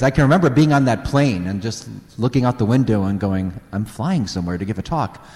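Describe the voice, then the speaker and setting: A man with an American accent at a fairly quick pace over noticeable background noise. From US Midwest, Northwest Indiana near Chicago. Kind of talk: parish talk to a live audience. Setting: church with audience.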